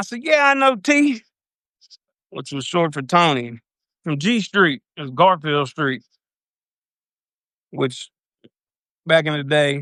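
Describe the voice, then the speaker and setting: A man with a fairly high pitch, a bright, sharp tone and a strong Louisiana accent speaks at a very slow pace with long, frequent pauses and big swings in loudness. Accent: thick Louisiana. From US South, Louisiana (South Baton Rouge). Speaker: recovering addict, former prisoner telling his story. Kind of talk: personal storytelling on a live video. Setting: live video stream. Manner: casual, uses slang and swears.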